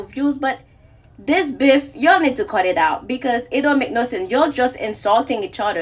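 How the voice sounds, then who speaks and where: Amid noticeable background noise, a woman with a high voice speaks at a moderate pace with lively intonation. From Haiti. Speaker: social media creator. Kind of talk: social media rant.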